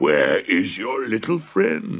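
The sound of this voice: A man talks slowly in a put-on character voice with vocal fry. His fairly low pitch swings very widely, and the tone is fairly bright.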